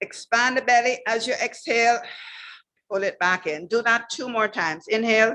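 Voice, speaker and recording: A woman's bright, sharp, fairly high voice with ordinary pitch variation and a moderate pace. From Jamaica. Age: 70s. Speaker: wellness instructor. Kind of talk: guided breathing exercise.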